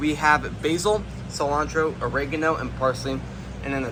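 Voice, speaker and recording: Noticeable background noise and audible room echo accompany this man's voice. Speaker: gardening video creator. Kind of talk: video tour walkthrough. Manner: fast.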